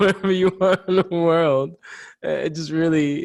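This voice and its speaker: A man talks in a New York accent. His pace is moderate. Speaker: podcast co-host. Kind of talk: casual chat.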